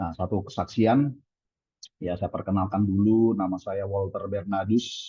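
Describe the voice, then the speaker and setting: The speaker sounds somewhat breathy and goes at a fairly slow pace. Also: man, fairly low pitch for a man, fairly even intonation. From Indonesia, Balikpapan, East Kalimantan. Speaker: pastor. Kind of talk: sermon. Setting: video call. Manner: halting.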